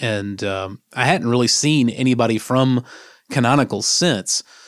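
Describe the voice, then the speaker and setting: A man of medium pitch uses a normal speaking voice and keeps a moderate pace. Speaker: podcast co-host, sysadmin. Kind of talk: casual tech discussion.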